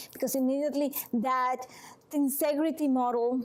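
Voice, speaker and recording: A woman speaks with a Venezuelan accent. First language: Spanish. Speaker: massage and manual therapist. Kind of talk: talk to a support group. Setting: room with a small audience.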